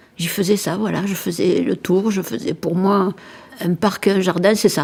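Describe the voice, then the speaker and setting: A woman speaks at a moderate pace with vocal fry. Her pitch varies in an ordinary way. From southern France, Montpellier. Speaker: interviewee recalling childhood. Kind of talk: personal reminiscence.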